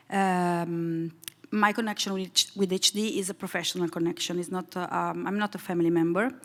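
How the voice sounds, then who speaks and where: Her Italian accent clear, a woman speaks at a fairly quick pace and a medium pitch with fairly even intonation. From Italy. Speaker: foundation president. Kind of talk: panel discussion. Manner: hesitant, many fillers.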